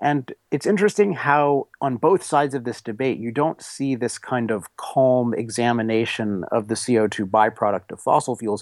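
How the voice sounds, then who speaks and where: Speaking with an American accent and hardly any pauses, a man has a plain, everyday voice at medium pitch and moderate pace with lively intonation, recorded very cleanly against a silent background in a dry, close sound with no echo. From US, Washington D.C. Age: 30s. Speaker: author. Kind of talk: interview.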